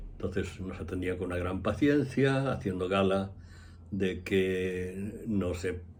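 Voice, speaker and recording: A man's very deep, low voice, somewhat breathy, at a very slow pace with fairly even intonation and audible room echo. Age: 70s. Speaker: astrologer. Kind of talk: casual monologue.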